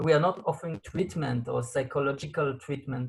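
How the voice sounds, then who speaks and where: The speaker is a man. He has an Israeli accent. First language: Hebrew. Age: 40s. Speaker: support line coordinator. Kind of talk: interview. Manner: halting.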